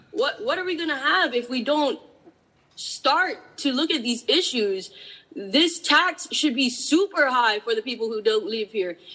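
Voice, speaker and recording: In a Hawaiian accent, a raised, projected voice moves at a fairly slow pace. Its pitch swings very widely. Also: woman, high pitch for a woman. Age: 30s. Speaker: public testifier. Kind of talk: public testimony. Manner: impassioned.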